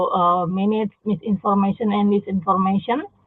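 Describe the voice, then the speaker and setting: With an Indonesian accent, a woman talks in a monotone, flat intonation. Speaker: university dean and health researcher. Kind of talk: conference presentation. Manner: halting, many fillers.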